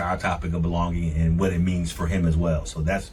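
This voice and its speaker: Audible room echo follows the words as they come at a fairly quick pace. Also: man. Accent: American. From St. Louis, US Midwest. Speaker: podcast host, leadership coach. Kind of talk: podcast conversation. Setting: studio.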